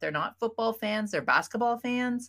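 In a Canadian accent, a woman's pitch swings very widely on a very clean recording with a silent background. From Ontario, Canada. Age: 50s. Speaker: job interview coach. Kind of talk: interview.

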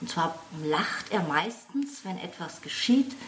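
Very wide pitch swings at a fairly slow pace, with noticeable background noise. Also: woman. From Franconia, Germany (Lohr am Main near Würzburg). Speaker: crime novelist. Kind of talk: casual chat.

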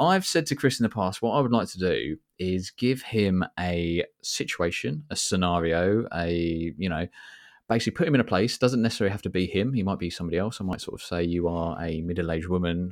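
On a very clean recording with a silent background, a man with a British accent talks at a fairly quick pace in a very deep, low pitch. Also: ordinary pitch variation. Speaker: podcast host and fragrance YouTuber. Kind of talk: casual chat. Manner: jokey, laughing.

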